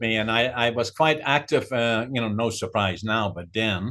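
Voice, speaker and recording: A man talks with a Dutch accent. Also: very clean recording, silent background. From Netherlands. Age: 80s+. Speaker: author and businessman. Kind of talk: interview. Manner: hesitant, many fillers.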